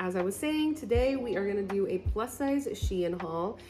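As a woman talks, clear music sounds behind her. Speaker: fashion vlogger. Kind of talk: casual vlog chat. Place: home room. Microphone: phone near.

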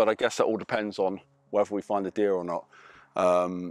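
A man talks fairly quickly in a fairly low, monotone voice with flat intonation. The sound is dry with no echo. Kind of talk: casual vlog chat. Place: open country. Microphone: lapel.

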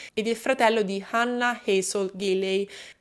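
Against a quiet background, the speaker uses a serious tone and fairly even intonation. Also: woman. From Italy. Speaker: true crime YouTuber. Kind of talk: true-crime narration, solo monologue to camera. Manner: measured, steady storytelling pace, serious. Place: home room. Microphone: studio mic.

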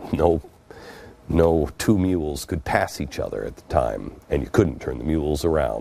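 A man speaks at a moderate pace in a dark, mellow tone with vocal fry. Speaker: TV show host. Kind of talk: storytelling monologue. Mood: earnest, reflective storytelling. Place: studio. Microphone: lapel.

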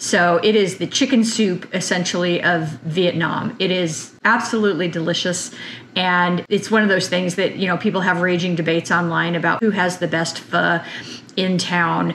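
A woman with an unremarkable speaking voice talks at a moderate pace and a fairly low pitch, her intonation fairly even, with light background noise behind her. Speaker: farm vlogger. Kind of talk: cooking tutorial intro chat. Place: kitchen. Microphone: camera far.

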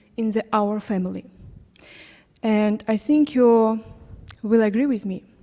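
A woman with a non-native accent speaks at a fairly slow pace in a fairly high pitch with a dark, mellow tone. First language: not English. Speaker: parent. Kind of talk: public comment at town hall. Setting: council chamber town hall. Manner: halting.

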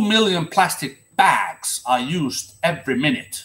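A man with a Finnish accent talks in very wide pitch swings. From Finland. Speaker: seaman and ocean activist; vlogger. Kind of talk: solo monologue to camera. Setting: livestream. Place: home room. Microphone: webcam.

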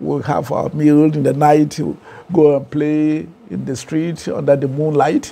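Speaking at a fairly slow pace, a man has a Ghanaian accent and a fairly high pitch. His intonation is monotone and flat. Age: 70s. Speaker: professor and author. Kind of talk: interview. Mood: relaxed, animated storytelling. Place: studio. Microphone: lapel.

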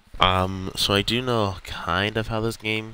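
A man speaks with music in the background. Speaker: gaming streamer. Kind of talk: let's play commentary. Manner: casual, hesitant with fillers.

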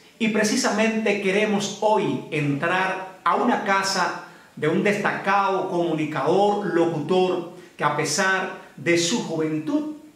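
At a very slow pace, a man speaks in a high pitch. Audible room echo surrounds his voice. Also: ordinary pitch variation. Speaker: interviewer, news channel host. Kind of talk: interview questions. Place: home room.

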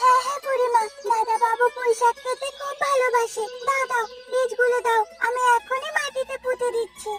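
A woman's cartoonish character voice at an extremely high pitch, monotone and flat, at a moderate pace, with clear music in the background. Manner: eager, cheerful.

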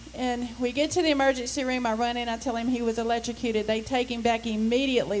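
A woman talks at a very fast pace in a high voice, her intonation flat and monotone. Light background noise sits behind her. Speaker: church member. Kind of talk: testimony. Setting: church. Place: church. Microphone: handheld.

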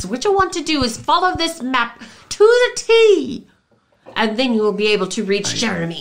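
A put-on character voice sounds female and sits high in pitch. Its pitch swings very widely. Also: moderate pace. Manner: curt, brisk.

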